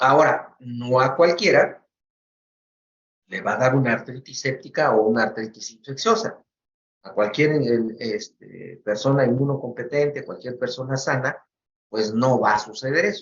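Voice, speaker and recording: A man speaks at a medium pitch and a fairly slow pace. His voice is somewhat breathy. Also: ordinary pitch variation. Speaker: medical professor. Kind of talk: lecture.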